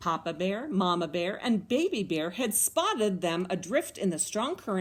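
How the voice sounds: The clip features a natural reading voice.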